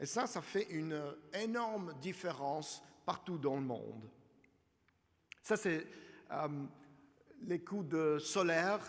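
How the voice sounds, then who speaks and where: In an English accent, a man speaks very slowly with lively intonation, a high pitch and long, frequent pauses, in audible room echo. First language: English (speaking French). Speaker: energy finance analyst. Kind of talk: conference presentation. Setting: conference hall with audience. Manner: halting.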